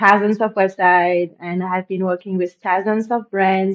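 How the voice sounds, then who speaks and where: The speaker is a woman. She talks with a French accent. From France. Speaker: e-commerce web designer and tutorial creator. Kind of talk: tutorial. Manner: casual, with frequent fillers and restarts.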